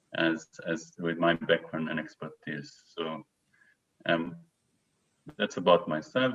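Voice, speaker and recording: A man with an Israeli accent at a very slow pace, with long, frequent pauses. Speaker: neuroscientist. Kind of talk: lecture. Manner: halting.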